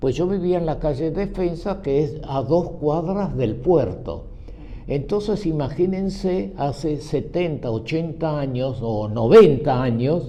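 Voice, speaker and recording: With noticeable background noise and audible room echo, a man talks very slowly at a fairly high pitch with lively intonation. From Argentina, Buenos Aires (San Telmo), born in Cuba. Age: 90s. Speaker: group member, nonagenarian. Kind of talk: casual group conversation, storytelling.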